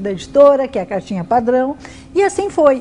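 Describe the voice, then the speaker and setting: A woman speaks in a high pitch over noticeable background noise. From Brazil, São Paulo city. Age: 60s. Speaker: writer. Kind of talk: interview testimony.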